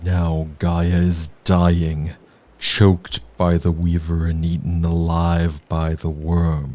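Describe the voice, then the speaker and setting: A man growls in a put-on character voice with a very deep, low pitch. He speaks at a very slow pace with monotone, flat intonation. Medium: actual play. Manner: mournful, grave.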